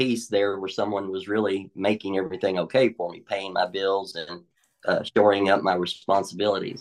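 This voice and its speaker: Someone with a Tennessee accent speaks at a moderate pace. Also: man. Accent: Southern US (Tennessee). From Middle Tennessee, US South. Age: 40s. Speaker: recovered addict sharing testimony. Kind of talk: testimony.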